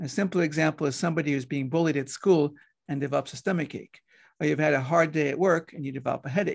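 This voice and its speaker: A man with an Israeli accent talks at a very fast pace in a fairly high voice. His intonation is fairly even, and the background is quiet. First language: Hebrew. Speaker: pediatrician and hypnotherapist. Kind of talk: interview.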